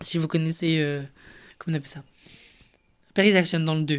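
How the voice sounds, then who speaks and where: Long, frequent pauses break up a man's monotone, flat delivery at a fairly high pitch. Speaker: gaming youtuber. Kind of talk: casual gameplay commentary. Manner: fast; halting, many fillers and repetitions.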